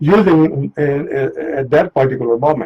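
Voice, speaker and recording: This man talks at a moderate pace with a Punjabi accent and a fairly high pitch, recorded in a dry, close sound with no echo. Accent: Indian Punjabi. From India, Punjab. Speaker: author and court interpreter. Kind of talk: radio interview. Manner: halting, many fillers.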